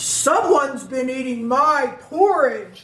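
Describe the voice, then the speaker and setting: A put-on character voice, female-sounding and high-pitched, growls. It moves at a fairly slow pace. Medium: read story. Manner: growling.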